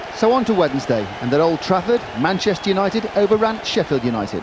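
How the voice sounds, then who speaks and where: Crowd noise fills the background as a man speaks at a moderate pace in a high voice. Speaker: football commentator. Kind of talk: TV football highlights commentary.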